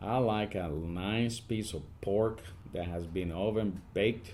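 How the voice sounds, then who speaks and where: A man's fairly low-pitched voice. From Puerto Rico. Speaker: army command sergeant major. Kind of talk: podcast interview answer.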